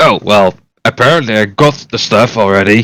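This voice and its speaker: A raspy, put-on character voice at a moderate pace with ordinary pitch variation, in a dry, close sound with no echo. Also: man. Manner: put-on, acted.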